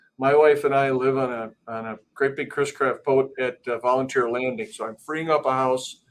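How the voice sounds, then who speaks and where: In an Upper Midwest accent, a man talks at a moderate pace with a medium pitch and fairly even intonation. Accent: Upper Midwest, noticeable. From Milwaukee. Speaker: business executive. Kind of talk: panel discussion.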